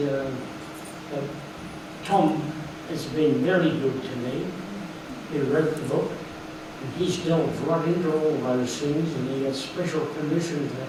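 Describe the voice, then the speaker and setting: Against noticeable background noise, a man with a fairly high pitch talks at a fairly slow pace, using fairly even intonation and long, frequent pauses. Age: 80s+. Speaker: war veteran. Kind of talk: speech at book launch.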